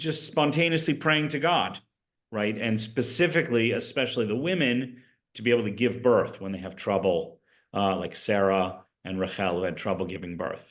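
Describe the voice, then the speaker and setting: A man's medium-pitched voice at a moderate pace, a plain, everyday voice. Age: 60s. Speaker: rabbi. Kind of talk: lecture. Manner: conversational.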